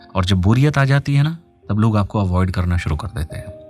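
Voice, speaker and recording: Backed by music, a man with a fairly low voice speaks at a moderate pace with lively intonation. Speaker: radio host. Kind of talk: radio call-in advice show. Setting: studio.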